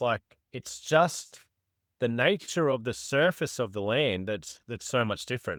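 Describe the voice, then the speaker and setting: A man speaks with an Australian accent at a moderate pace, his intonation lively, on a very clean recording with a silent background. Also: dry, close sound with no echo. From Australia, far north Queensland. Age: 40s. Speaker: bowhunter. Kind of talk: casual chat. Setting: podcast. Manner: halting.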